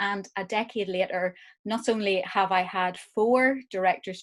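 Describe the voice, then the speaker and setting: A woman speaks with an Irish accent against a quiet background. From Ireland. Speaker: arts director and producer. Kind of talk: lecture. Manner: hesitant, many fillers.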